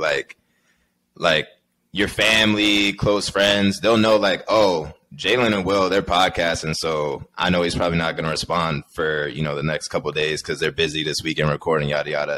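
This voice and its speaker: The pace is fairly quick, broken by long, frequent pauses, with ordinary pitch variation. Light background noise can be heard. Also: man, very deep, low pitch for a man. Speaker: podcast host. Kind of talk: casual chat. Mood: relaxed, friendly. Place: home room. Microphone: studio mic.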